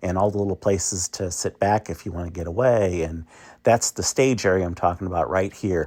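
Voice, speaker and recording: A man with an unremarkable speaking voice talks at a fairly low pitch and a fairly quick pace. The recording is very clean, with a silent background. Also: dry, close sound with no echo. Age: 60s. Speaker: travel vlogger. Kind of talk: casual walking tour narration. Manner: casual with many fillers and repetitions.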